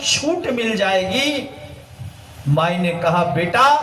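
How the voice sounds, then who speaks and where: Audible room echo and noticeable background noise both come through in the recording. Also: man. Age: 80s+. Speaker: spiritual guru. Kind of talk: sermon.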